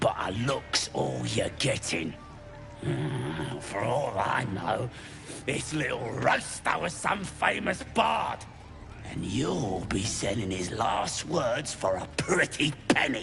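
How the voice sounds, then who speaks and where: A put-on character voice moves at a very slow pace, with clear music playing in the background. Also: man, fairly low pitch for a man. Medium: video game. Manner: cocky.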